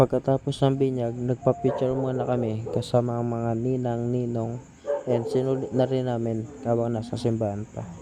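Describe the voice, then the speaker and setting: Over noticeable background noise, a soft-spoken man talks in a monotone, flat way. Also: medium pitch for a man, moderate pace. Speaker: vlogger, father of baby. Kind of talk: casual vlog narration. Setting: church.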